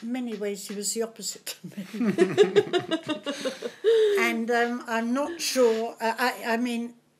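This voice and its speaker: Light background noise sits behind a woman's fairly high voice. She talks at a very slow pace. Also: long, frequent pauses. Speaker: community volunteer and foundation founder. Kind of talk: interview answer. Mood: warm, reflective. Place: home room. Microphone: studio mic.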